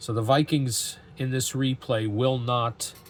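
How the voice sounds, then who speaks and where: A man speaks with monotone, flat intonation. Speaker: tabletop game YouTuber. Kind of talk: solo tabletop game playthrough commentary; video outro. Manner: halting, with fillers.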